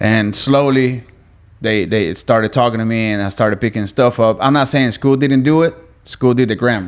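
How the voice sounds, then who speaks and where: Speaking with a Spanish accent, a man keeps a moderate pace. His pitch is medium, with ordinary variation. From Venezuela. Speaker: guest. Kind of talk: casual chat.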